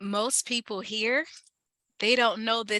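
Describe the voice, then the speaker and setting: A woman with a slight Ohio accent, very slow delivery, fairly even intonation, a bright, sharp tone, dry close sound with no echo, and a very clean recording over a silent background. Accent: slight Ohio country twang. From Ohio, Mansfield. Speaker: community health organizer. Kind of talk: guest talk. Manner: casual, conversational.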